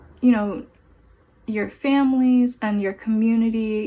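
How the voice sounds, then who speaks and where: Somewhat breathy and fairly high-pitched, a woman speaks at a fairly slow pace with fairly even intonation. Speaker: tarot reader. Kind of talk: pick-a-card tarot reading. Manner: halting.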